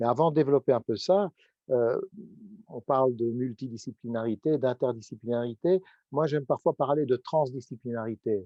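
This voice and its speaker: A man talks in a plain, everyday voice at a medium pitch. His pace is moderate and his pitch variation ordinary. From Belgium. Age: 60s. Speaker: professor. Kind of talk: panel discussion.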